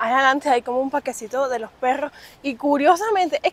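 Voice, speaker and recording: In a Cuban accent, a woman with a high-pitched voice speaks at a moderate pace with lively intonation, the sound dry with no echo. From Cuba, Havana. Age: 20s. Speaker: vlogger. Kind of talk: casual vlog monologue. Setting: outdoors on the street. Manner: animated. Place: street. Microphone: phone near.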